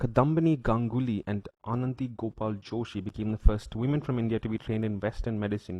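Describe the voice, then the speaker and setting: A man speaks at a fairly quick pace in a dark, mellow tone. The sound is dry and close, with no echo. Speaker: political commentator. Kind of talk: opinion commentary rebutting an article. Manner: sarcastic, heated.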